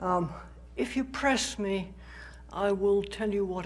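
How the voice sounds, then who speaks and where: A woman speaks with a British accent. Audible room echo is present. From Britain. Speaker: philosophy professor. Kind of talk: public lecture. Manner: conversational, with fillers.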